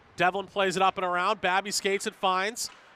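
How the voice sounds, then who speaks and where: An energetic, raised voice projects outward at a fairly quick pace. The sound is dry and close, with no echo. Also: man. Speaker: sports play-by-play announcer. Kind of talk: live sports play-by-play commentary. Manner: fast, energetic.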